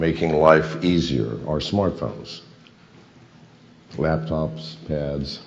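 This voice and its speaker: Audible room echo around a man's very deep, low voice, its pitch varying in an ordinary way. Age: 70s. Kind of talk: speech on cryptocurrency. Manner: rhetorical questions, emphatic.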